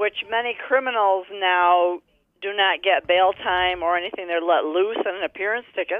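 A woman with a normal speaking voice, medium pitch and fairly even intonation, with an American accent, at a moderate pace. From New York State. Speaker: caller. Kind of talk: call-in question.

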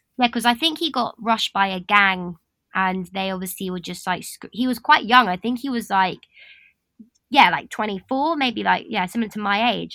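A woman speaks in a London accent at a medium pitch, with a bright, sharp tone. Her pace is fairly quick and her pitch varies in an ordinary way. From London, England. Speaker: podcast guest. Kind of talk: casual chat.

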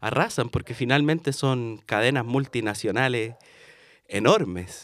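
On a very clean recording with a silent background, a man with a Chilean accent speaks at a fairly slow pace and medium pitch. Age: 20s. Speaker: podcast host and tarot reader. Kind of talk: casual monologue.

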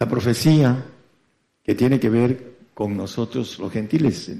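This man has a medium-pitched voice with a dark, mellow tone and ordinary pitch variation. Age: 70s. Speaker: radio preacher. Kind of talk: sermon. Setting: congregation present, broadcast on FM. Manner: halting.

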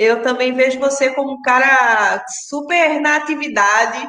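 A woman's raised, projected voice at a high pitch, fairly slow, with ordinary pitch variation and audible room echo. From Pernambuco, Brazil. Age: 30s. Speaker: sound artist and sound editor. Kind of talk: interview.

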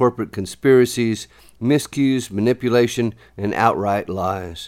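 A man's normal speaking voice at a medium pitch and fairly slow pace, in a very clean recording with a silent background. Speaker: poet. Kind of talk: poetry reading, spoken word. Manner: measured, rhythmic, deliberate delivery with pointed pauses; serious, urgent, warning tone.

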